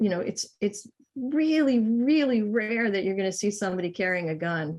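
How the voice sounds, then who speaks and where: With a normal speaking voice and an American accent, a woman talks at a medium pitch using lively intonation. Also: moderate pace. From Massachusetts, US. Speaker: naturalist and artist. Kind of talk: casual chat.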